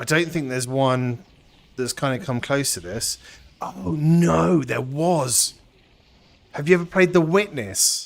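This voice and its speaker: Here a man with a British accent talks at a fairly high pitch. His pitch swings very widely, and he leaves long, frequent pauses. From Britain. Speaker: VR gaming streamer. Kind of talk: live gameplay commentary. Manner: animated.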